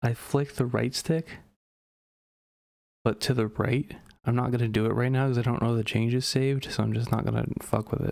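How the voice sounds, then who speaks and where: Quiet and medium-pitched, a man speaks at a moderate pace with fairly even intonation. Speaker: gaming commentator. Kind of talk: casual gameplay commentary. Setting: at home.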